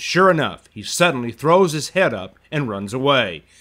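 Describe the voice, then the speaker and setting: On a very clean recording with a silent background, a man with a fairly high pitch speaks at a moderate pace with very wide pitch swings. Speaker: wildlife videographer narrator. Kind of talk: scripted nature narration, dramatic and hushed, building suspense.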